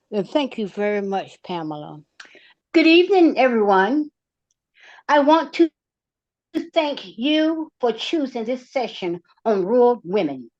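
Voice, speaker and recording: A woman's high voice with a Southern US accent, very wide pitch swings, a fairly slow pace and long, frequent pauses against a quiet background. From North Carolina. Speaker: nonprofit executive. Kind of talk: prepared talk.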